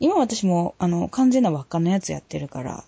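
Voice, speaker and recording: A woman is talking. Her pace is moderate. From Ehime, Japan. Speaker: podcast host. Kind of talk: casual chat.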